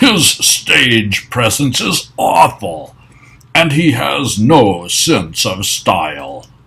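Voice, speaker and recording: In a put-on character voice, a man at a medium pitch speaks at a very slow pace with very wide pitch swings. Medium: read story. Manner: theatrical, sneering.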